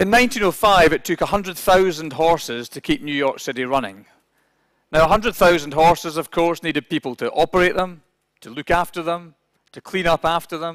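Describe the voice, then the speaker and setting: A man with a Scottish accent speaks at a fairly quick pace in a high pitch, with lively intonation and big swings in loudness. The recording is very clean, with a silent background and a dry, close sound with no echo. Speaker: business executive speaker. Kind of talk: conference talk. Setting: conference hall with interpreters.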